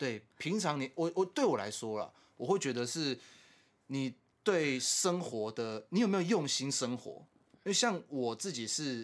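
The recording is very clean, with a silent background. A man speaks in a plain, everyday voice, fairly high in pitch, with lively intonation. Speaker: podcast co-host. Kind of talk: casual chat.

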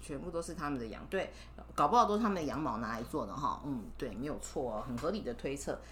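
A woman talks very fast in an animated tone. Room echo is audible, and background noise is noticeable. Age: 30s. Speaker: mother reading stories with her child. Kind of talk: storytelling to a child.

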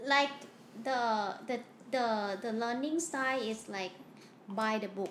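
A woman's fairly high voice with ordinary pitch variation, a very slow pace and long, frequent pauses, amid audible room echo and noticeable background noise. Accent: Thai. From Thailand. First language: Thai. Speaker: student at a Mandarin language school. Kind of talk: casual interview. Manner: halting, repeats words.

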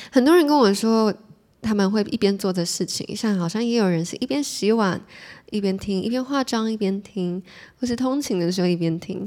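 The tone is dark and mellow, delivered at a moderate pace with ordinary pitch variation. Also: woman, medium pitch for a woman. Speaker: podcast host. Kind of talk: solo casual chat, reading listener messages. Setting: solo recording at the mic. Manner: calm, relaxed.

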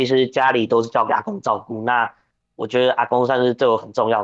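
A man speaks with a plain, everyday voice. His pitch is medium and his pace moderate. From Taiwan, New Taipei. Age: 20s. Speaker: professional wrestler. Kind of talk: interview.

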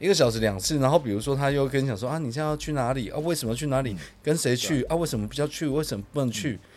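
Very fast with hardly any pauses, a man talks with ordinary pitch variation. The recording is very clean, the background silent. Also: fairly high pitch for a man. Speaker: podcast co-host. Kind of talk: casual chat.

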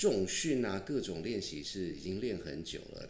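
There is audible room echo as a man with a slight southern Taiwanese accent talks at a moderate pace. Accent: slight Tainan Taiwanese. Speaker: podcast host. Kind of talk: casual chat.

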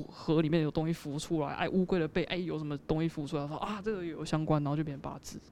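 Speech comes at a very fast pace. There is noticeable background noise. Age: 20s. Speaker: video editor explaining fortune-telling. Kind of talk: casual chat.

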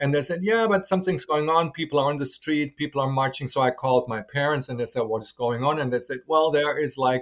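On a very clean recording with a silent background, a man with a German accent and a fairly high pitch talks at a very fast pace with ordinary pitch variation. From West Germany (Dortmund). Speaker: German teacher. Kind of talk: interview. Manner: halting.

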